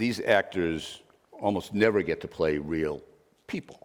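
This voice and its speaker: A man with a Boston accent and ordinary pitch variation. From Boston area, Massachusetts. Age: 70s. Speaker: investigative journalist. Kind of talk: masterclass interview.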